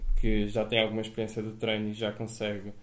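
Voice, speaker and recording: A man speaks in a normal speaking voice at a medium pitch and a fairly quick pace. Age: 20s. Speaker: personal trainer and CrossFit coach. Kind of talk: podcast interview.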